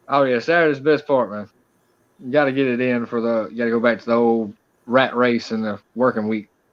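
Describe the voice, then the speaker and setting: A man speaks fairly quickly with a Southern US accent. His pitch is medium and his intonation fairly even. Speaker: fishing streamer. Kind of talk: casual chat. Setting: live stream.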